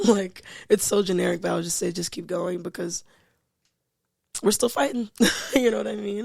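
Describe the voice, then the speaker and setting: With an American accent, a woman at medium pitch speaks at a fairly quick pace, with ordinary pitch variation, vocal fry, big swings in loudness and long, frequent pauses. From New York, Staten Island. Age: 20s. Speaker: singer and spoken word artist. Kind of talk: casual chat. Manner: halting, with pauses.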